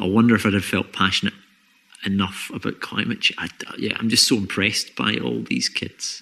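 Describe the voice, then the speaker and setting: With vocal fry and a bright, sharp tone, a man of fairly low pitch talks at a fairly quick pace using lively intonation. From Scotland. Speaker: podcast host, comedian and environmental researcher. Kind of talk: casual chat.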